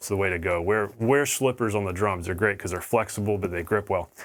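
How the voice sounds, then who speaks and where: A man's normal speaking voice at a fairly quick pace, with ordinary pitch variation, on a very clean recording with a silent background. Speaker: drum teacher. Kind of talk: tutorial. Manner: casual, conversational.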